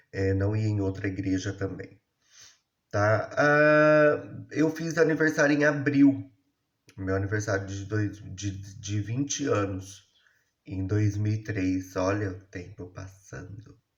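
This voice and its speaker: Very slowly and somewhat breathily, a man speaks at a fairly low pitch with lively intonation. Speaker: YouTuber telling his life story. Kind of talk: personal storytelling monologue. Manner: casual, conversational.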